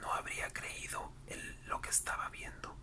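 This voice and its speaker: A whispered voice keeps a moderate pace while noticeable background noise carries on. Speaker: ASMR narrator reading a book aloud. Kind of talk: whispered audiobook-style reading for sleep/relaxation. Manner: whispered, soft-spoken.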